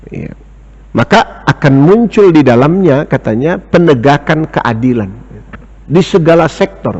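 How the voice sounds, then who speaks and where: A man speaks at a fairly slow pace. His voice sits fairly high and has lively intonation. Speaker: Islamic teacher and economics lecturer. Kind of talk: religious lecture. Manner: slow, deliberate; lowered volume.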